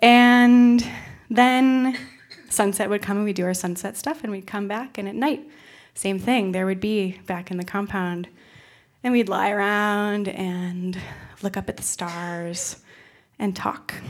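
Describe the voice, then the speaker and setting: A woman speaks fairly slowly at a medium pitch with ordinary pitch variation. She leaves long, frequent pauses over a very clean recording with a silent background. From upstate New York. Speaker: storyteller, former Peace Corps volunteer. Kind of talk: live storytelling. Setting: stage with audience. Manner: animated.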